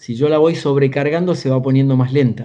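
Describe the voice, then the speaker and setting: In a dark, mellow tone, a man speaks at a medium pitch with fairly even intonation. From Argentina, small town south of Buenos Aires. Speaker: executive coach and author. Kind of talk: interview conversation.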